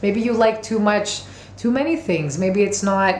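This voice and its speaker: With audible room echo and noticeable background noise, a woman speaks at a moderate pace. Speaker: tarot and oracle card reader. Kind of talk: monthly oracle card reading to camera. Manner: casual, with many fillers and restarts.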